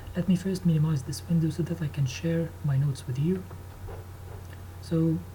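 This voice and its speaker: This man's voice sits fairly high for a man, has a dark, mellow tone with some breathiness, swings very widely in pitch, and moves at a moderate pace. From Egypt. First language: Arabic. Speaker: engineering student. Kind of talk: tutorial. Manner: halting.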